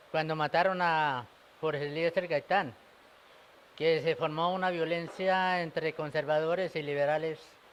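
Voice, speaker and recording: A man with a high voice speaks in fairly even intonation. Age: 60s. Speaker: elderly witness of the war. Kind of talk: interview testimony. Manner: halting.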